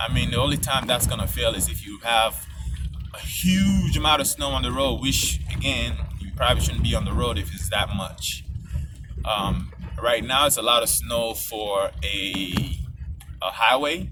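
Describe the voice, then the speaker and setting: A man's very deep, low voice with very wide pitch swings, amid noticeable background noise and audible room echo. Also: moderate pace. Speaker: driver giving road safety tips. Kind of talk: casual tutorial. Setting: in a car, driving on a snowy highway. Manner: casual, slightly halting.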